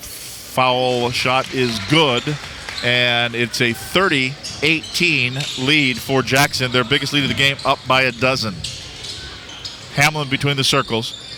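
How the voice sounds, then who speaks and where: With noticeable background noise, a man speaks at a very even loudness, leaving long, frequent pauses. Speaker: radio play-by-play announcer. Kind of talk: live sports play-by-play commentary. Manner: fast, energetic.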